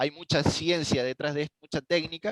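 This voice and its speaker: An unremarkable speaking voice from a man, fairly high in pitch with ordinary pitch variation, in a dry sound with no echo and a quiet background. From Argentina. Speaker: network engineer; instructor presenting software. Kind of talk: technical tutorial. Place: home room. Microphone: headset.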